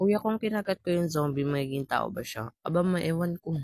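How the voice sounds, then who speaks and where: Recorded dry and close with no echo, a high-pitched man speaks at a moderate pace with lively intonation. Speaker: gaming streamer. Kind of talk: reading and answering viewer comments. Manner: playful, jokey.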